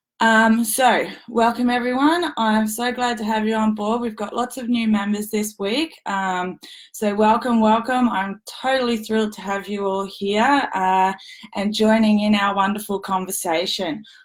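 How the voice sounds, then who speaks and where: In an Australian accent, the shaky voice keeps a fairly even intonation. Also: woman, fairly high pitch for a woman, fairly slow pace, very clean recording, silent background. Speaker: former elite athlete and sports mentor. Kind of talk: livestream talk to members. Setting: live stream.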